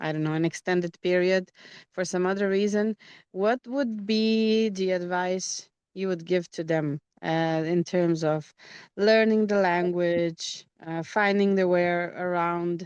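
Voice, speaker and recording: This is a woman with a normal speaking voice at medium pitch. She talks at a fairly slow pace with fairly even intonation. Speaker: English teacher. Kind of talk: interview host questions.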